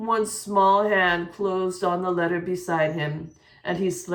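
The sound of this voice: Fairly even intonation across an unforced reading voice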